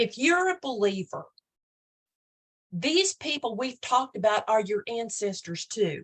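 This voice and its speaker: A woman speaks fairly slowly with an Oklahoma accent, her pitch swinging very widely. The sound is dry and close with no echo, somewhat breathy, and broken by long, frequent pauses. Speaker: online Bible study host. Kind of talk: casual Bible study talk. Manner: hesitant, repeats words.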